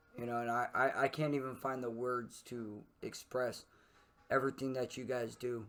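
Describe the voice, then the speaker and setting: In a monotone, flat intonation, a man talks at a moderate pace and medium pitch. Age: 30s. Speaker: streamer and podcast host. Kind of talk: casual chat. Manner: halting.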